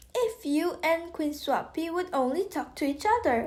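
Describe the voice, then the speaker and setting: A woman uses a put-on character voice with an extremely high pitch. Light background noise can be heard. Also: moderate pace. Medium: read story.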